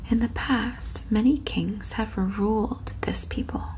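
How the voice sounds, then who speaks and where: A soft-spoken woman talks at a very slow pace over noticeable background noise. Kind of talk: audiobook-style reading of a novel, ASMR. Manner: soft-spoken, relaxing.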